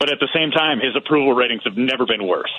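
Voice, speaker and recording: Noticeable background noise sits behind a man speaking. His pitch is medium, with ordinary variation. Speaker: political podcast host. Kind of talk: casual political chat. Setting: phone call.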